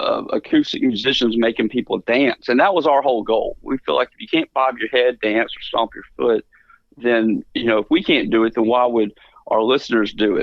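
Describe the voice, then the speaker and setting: A man with a Mississippi accent talks at a moderate pace. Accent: US Southern (Mississippi). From Mississippi Delta. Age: 40s. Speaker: musician. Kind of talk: radio interview. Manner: casual with many fillers.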